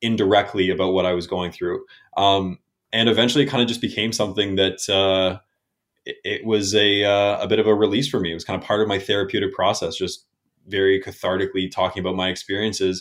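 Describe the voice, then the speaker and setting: A man with a Canadian accent and an unremarkable speaking voice, fairly low in pitch, at a fairly quick pace with fairly even intonation. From Canada, New Brunswick. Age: 20s. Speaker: podcast host. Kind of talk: interview.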